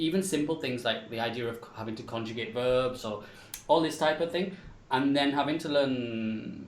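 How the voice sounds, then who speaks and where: A man with an English accent speaks at a moderate pace and medium pitch, with ordinary pitch variation. His loudness swings widely, and room echo is audible. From England. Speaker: English teacher. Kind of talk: panel discussion. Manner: halting.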